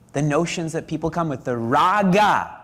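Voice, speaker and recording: A man talks in a normal speaking voice. His pace is fairly slow. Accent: Canadian. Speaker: spiritual teacher. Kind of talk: religious discourse.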